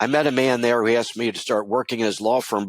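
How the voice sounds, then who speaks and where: A man with a Baltimore accent talks at a very fast pace in a medium pitch with ordinary pitch variation. The sound is dry and close with no echo. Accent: Baltimore American English. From US, Baltimore, Maryland. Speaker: lawyer and coach. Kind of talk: interview.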